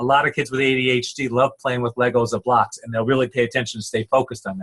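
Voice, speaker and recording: A man's medium-pitched voice in a Rhode Island accent, very fast and fairly even in intonation, with a dry, close sound and no echo. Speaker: psychologist. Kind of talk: lecture. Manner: halting, many repetitions.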